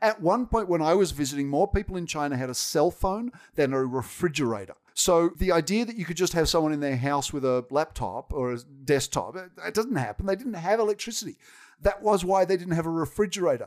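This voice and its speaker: Lively intonation marks this man's high-pitched voice. He speaks with an Australian accent at a fairly quick pace. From Sydney, Australia. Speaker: technology executive. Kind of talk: casual interview.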